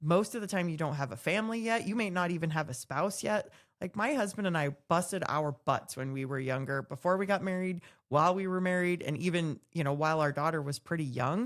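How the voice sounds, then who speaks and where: In a normal speaking voice, a woman talks at a fairly quick pace with lively intonation and a fairly low pitch, on a very clean recording with a silent background. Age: 40s. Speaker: podcast co-host, mortgage professional. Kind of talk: casual panel discussion.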